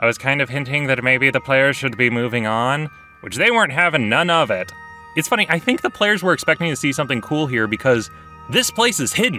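A man talks with lively intonation over music in the background, the sound dry with no echo. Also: fairly quick pace. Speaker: game master narrator. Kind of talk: storytime commentary. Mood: amused, wry.

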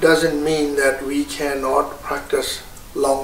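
A man speaks at a very slow pace. Audible room echo and light background noise surround his voice. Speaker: Buddhist teacher. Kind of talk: Buddhist teaching on meditation practice. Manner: slow, hesitant, explanatory. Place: home room.

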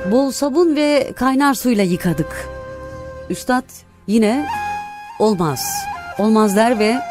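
Her voice is high-pitched and her pace very slow. The woman's sound is dry with no echo, and clear music plays in the background. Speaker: radio presenter. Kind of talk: read story. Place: studio. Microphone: studio mic.

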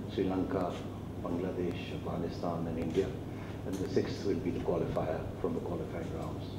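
A man at a moderate pace, with noticeable background noise and audible room echo. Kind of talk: press conference announcement. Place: hall. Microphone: podium.

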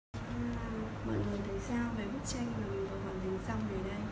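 Loud background noise surrounds a woman who speaks at a fairly slow pace. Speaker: coloring channel host. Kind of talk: casual vlog chat. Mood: friendly, upbeat. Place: home room.

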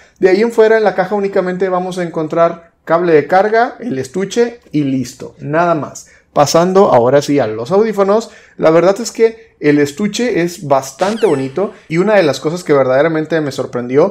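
A man's high-pitched, lively voice at a moderate pace with hardly any pauses. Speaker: tech reviewer. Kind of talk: product review talk. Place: home room.

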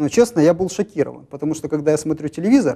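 The man's tone is dark and mellow. Little sound intrudes from behind him. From Ukraine. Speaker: regional party leader and human rights activist; talk show guest. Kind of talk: live TV studio interview. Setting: TV studio. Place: studio. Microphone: lapel.

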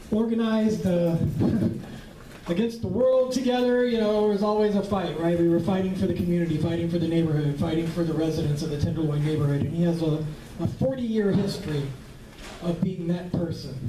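Over noticeable background noise, a man talks fairly quickly in a high voice with ordinary pitch variation. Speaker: memorial host. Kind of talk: memorial speech. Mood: warm, fond, a little laughing. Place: hall.

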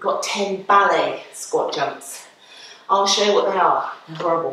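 A woman's voice comes with audible room echo and light background noise behind it. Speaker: fitness instructor. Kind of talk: workout instruction. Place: gym. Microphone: camera far.

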